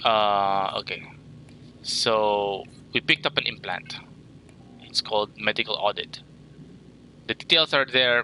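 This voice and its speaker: The tone is bright and sharp, with ordinary pitch variation and a moderate pace broken by long, frequent pauses. The sound is dry and close, with no echo. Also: man. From Philippines. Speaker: gaming streamer. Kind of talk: game walkthrough livestream. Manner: casual, halting with fillers.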